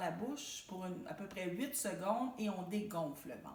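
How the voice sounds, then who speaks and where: Somewhat breathy speech in a Quebec accent comes at a fairly slow pace with audible room echo. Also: woman. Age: 60s. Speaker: support group facilitator. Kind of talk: self-help talk to camera. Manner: conversational, informal.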